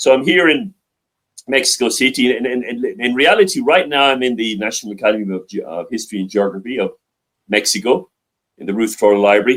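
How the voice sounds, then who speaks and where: A man's medium-pitched voice with lively intonation at a very fast pace. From Ireland, central Dublin. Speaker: global affairs advisor. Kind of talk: interview. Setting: library. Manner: halting, many repetitions and fillers.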